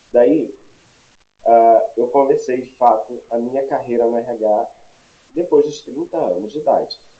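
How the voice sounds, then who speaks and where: Speaking at a fairly slow pace, a man with a medium pitch uses lively intonation. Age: 40s. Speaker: HR consultant. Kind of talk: live webinar presentation. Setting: home office live stream.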